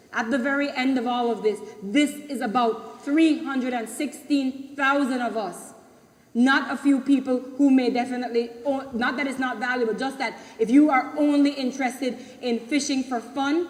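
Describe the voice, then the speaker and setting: A woman's high-pitched voice comes through over noticeable background noise. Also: fairly even intonation, moderate pace. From Belize. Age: 40s. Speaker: community member. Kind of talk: public meeting speech. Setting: public consultation meeting.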